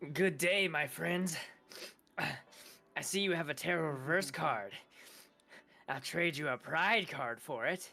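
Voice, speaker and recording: A put-on character voice sits at a middle pitch. It moves at a fairly slow pace with long, frequent pauses. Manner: formal, overly polite.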